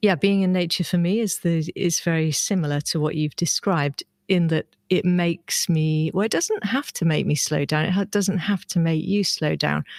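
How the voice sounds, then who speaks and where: Speaking at a moderate pace with a British accent, the voice keeps a very even loudness and fairly even intonation, captured in a very clean recording with a silent background and a dry, close sound with no echo. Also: woman, fairly low pitch for a woman. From UK. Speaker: herbology and biology teacher. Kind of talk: casual chat.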